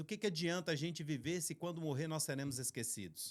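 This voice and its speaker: With a Minas Gerais accent, a man talks at a very fast pace in a fairly high pitch. The recording is very clean, with a silent background. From Brazil, Minas Gerais. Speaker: podcast host, ministry co-founder. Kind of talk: podcast introduction.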